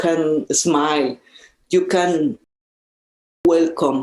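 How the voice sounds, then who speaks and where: A woman speaks with a Mexican accent and fairly even intonation. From central Mexico. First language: Spanish. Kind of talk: interview conversation. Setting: in-person conversation at a social service agency office. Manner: halting, with repetitions.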